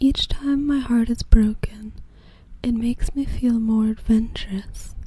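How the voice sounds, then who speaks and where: Soft-spoken, a woman talks with a dark, mellow tone at a fairly high pitch. Her intonation stays monotone and flat. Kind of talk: poetry reading.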